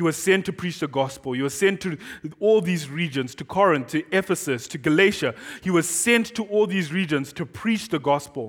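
With a Zimbabwean accent, a man speaks in a high voice with lively intonation. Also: moderate pace. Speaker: guest pastor. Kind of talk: sermon. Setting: church. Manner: excitable; loud and expressive.

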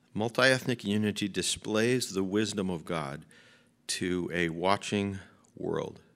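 A man with an American accent has a normal speaking voice, fairly low in pitch with ordinary variation, at a fairly slow pace. The recording is very clean, the background silent. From Chicago. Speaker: pastor. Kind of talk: sermon. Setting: church.

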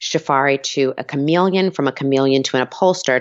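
A woman's very deep, low voice with an American accent and ordinary pitch variation. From US Northeast, Long Island, New York. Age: 40s. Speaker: wedding planner. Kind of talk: interview.

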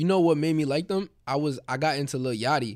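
A man in a New York accent, very fast, with ordinary pitch variation, on a very clean recording with a silent background. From Queens, New York. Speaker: musician. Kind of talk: interview.

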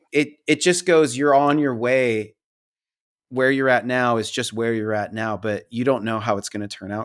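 Here is a man with an ordinary speaking voice and medium pitch. He speaks at a moderate pace with ordinary pitch variation. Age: 40s. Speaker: painter and storyteller, author. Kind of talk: casual chat.

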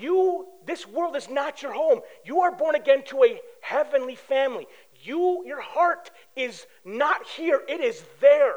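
A man with an extremely high pitch talks at a fairly slow pace in an animated tone, his pitch swinging very widely and his loudness rising and falling sharply. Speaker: pastor. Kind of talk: sermon.

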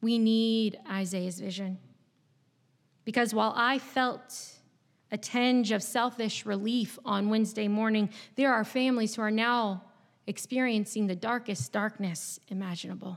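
On a very clean recording with a silent background, a woman with an American accent speaks at a fairly high pitch. She has a normal speaking voice, with fairly even intonation at a fairly slow pace. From southeast Virginia, US. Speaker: pastor. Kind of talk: sermon. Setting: church.

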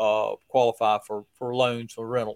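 A man with an unremarkable speaking voice talks at a medium pitch and a moderate pace, the sound dry and close with no echo. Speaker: trucking business owner, tax and accounting guest. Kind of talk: casual chat. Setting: hotel bar.

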